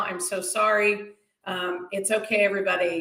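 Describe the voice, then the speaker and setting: A woman speaks with an American accent, and audible room echo surrounds her voice. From Boston. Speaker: stand-up comedian. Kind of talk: stand-up.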